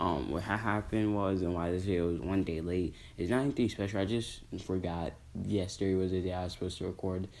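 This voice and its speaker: This man talks at a fairly quick pace in a very deep, low voice. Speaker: YouTuber discussing anime fan theories. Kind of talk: casual monologue recap. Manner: energetic; halting, self-correcting.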